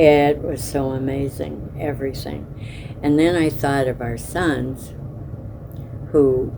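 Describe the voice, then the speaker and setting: A woman with an American accent speaks at a very deep, low pitch in a flat monotone. Audible room echo and noticeable background noise fill the recording. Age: 80s+. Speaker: oral history interviewee. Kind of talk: oral history interview.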